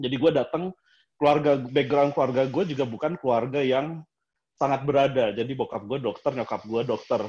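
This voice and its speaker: Speaking at a fairly quick pace, the man has an unremarkable speaking voice with a fairly high pitch and ordinary pitch variation. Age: 30s. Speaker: architect. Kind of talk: casual chat.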